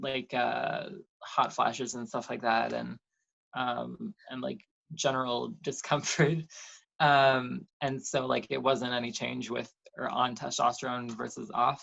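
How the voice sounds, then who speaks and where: The speaker has a Canadian accent. The pace is fairly slow. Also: woman. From Canada. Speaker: detransitioner sharing her story. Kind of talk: interview testimony. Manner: halting, many fillers.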